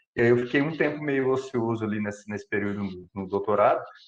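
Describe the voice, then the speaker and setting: The speaker has an interior São Paulo accent. The pace is fairly quick. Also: man. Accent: interior São Paulo accent (caipira). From Brazil, interior of São Paulo state. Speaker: computational biologist giving a talk. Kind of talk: lecture. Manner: hesitant, many fillers and repetitions.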